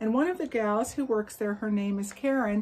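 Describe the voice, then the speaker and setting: A woman speaks with ordinary pitch variation. Her voice is somewhat breathy. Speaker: yarn crafts vlogger. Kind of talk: casual vlog chat. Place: garden. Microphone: phone near.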